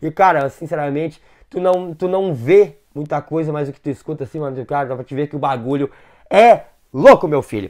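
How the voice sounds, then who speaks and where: The voice has an animated tone, lively intonation and a fairly quick pace over a quiet background. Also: man. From southern Brazil. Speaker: gaming YouTuber. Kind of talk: casual gaming video commentary.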